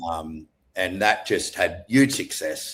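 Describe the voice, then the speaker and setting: A man with an Australian accent, lively intonation and a fairly slow pace. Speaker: entrepreneur. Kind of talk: casual interview chat.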